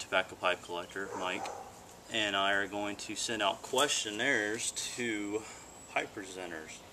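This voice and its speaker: A man with a fairly low pitch speaks at a fairly slow pace. Noticeable background noise sits behind him. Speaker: pipe reviewer. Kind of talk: casual vlog chat. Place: garden. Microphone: camera far.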